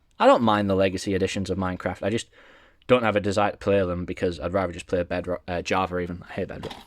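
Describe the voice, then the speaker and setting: A man with an English accent at a very fast pace. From England. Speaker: gaming YouTuber. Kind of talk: casual collection walkthrough.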